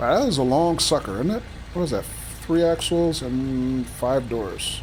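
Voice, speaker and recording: A man speaks at a fairly slow pace with an American accent. Noticeable background noise runs underneath. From Philadelphia, US. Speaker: video game streamer. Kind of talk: livestream gameplay commentary. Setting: live stream with chat. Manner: casual, chatty.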